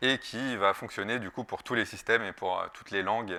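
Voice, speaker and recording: A man's bright, sharp voice at a fairly quick pace with fairly even intonation. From France. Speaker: security researcher. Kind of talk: conference talk. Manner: halting, many filler sounds.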